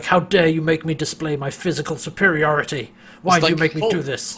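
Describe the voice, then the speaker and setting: Putting on a character voice, a man talks at a fairly quick pace in a guttural, fairly high pitch. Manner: intense, angry.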